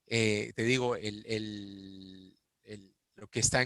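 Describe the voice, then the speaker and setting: A man's voice sits fairly low but has a bright, sharp tone. His delivery is monotone and flat, recorded dry and close with no echo. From Peru. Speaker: interviewee, executive. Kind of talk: interview. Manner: hesitant, repeats words.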